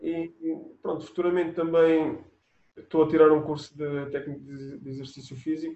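Flat, monotone intonation at a moderate pace, with big swings in loudness. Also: man, fairly high pitch for a man. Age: 30s. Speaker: athlete (400m hurdles). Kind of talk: interview. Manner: halting, many repetitions and fillers.

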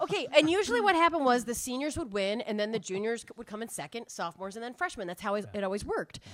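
This voice, with an American accent, races along at a very fast pace with hardly any pauses. Its pitch swings very wide. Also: woman, fairly high pitch for a woman. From New Hampshire, US. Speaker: storyteller. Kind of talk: live storytelling. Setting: stage with audience.

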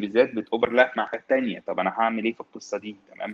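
A man talking at a very fast pace, in a dry, close sound with no echo. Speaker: tech consultant. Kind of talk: casual chat.

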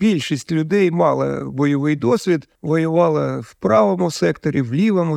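A man's plain, everyday voice at a fairly slow pace, with lively intonation. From Ukraine, Kharkiv. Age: 60s. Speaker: territorial defense soldier. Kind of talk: interview.

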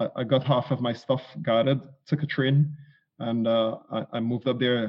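A man with a Trinidadian accent, fairly even intonation and a moderate pace. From Trinidad and Tobago. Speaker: life coach and former navy serviceman. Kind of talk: interview conversation. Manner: repeats words, somewhat halting.

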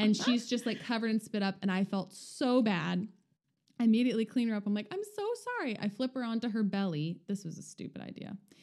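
Very fast speech comes from a woman with fairly high pitch. She has an American accent. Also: ordinary pitch variation. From California. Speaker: guest, new parent and former nanny. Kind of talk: casual chat.

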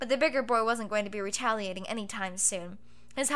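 Heard here is an unforced reading voice. The pitch varies in an ordinary way.

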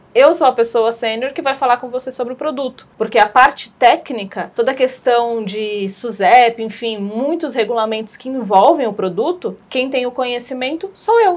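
A woman, high in pitch, with hardly any pauses. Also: ordinary pitch variation, moderate pace. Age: 30s. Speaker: pension specialist in finance. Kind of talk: interview. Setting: studio. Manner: halting.

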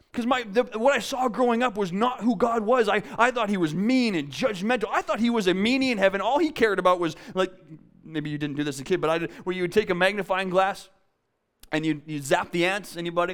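This speaker talks at a very fast pace with lively intonation. The voice carries a Canadian Prairie accent. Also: man, high pitch for a man. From Canadian Prairies, south of Winnipeg, Manitoba. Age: 30s. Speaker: youth pastor. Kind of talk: sermon. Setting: church. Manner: halting, many repeated words.

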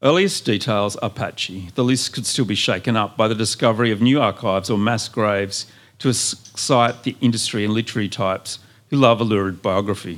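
An unremarkable speaking voice delivers the words at a fairly quick pace. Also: man, medium pitch for a man, ordinary pitch variation, very clean recording, silent background. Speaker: poet. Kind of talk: poetry reading to a live audience. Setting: live bookshop event with audience.

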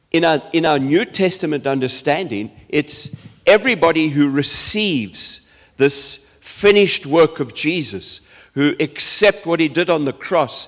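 A man talks at a very slow pace with lively intonation. His pitch is fairly high. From South Africa. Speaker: preacher. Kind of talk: sermon.

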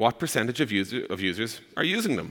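The man's tone comes across bright and sharp. He delivers his words at a fairly quick pace. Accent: Irish. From Ireland. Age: 30s. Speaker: startup co-founder. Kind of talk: conference talk.

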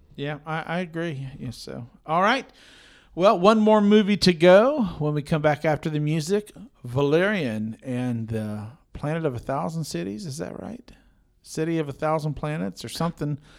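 Speaking at a moderate pace, a man uses a normal speaking voice, fairly high in pitch, with lively intonation and big swings in loudness. The recording is very clean, with a silent background. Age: 40s. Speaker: film podcast host. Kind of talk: casual chat.

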